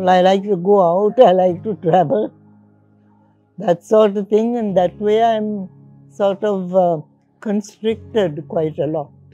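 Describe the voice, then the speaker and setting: A woman speaks at a fairly slow pace with fairly even intonation and long, frequent pauses. The sound is dry with no echo, and faint music plays in the background. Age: 80s+. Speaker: retired teacher. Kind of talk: interview answer. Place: garden. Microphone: lapel.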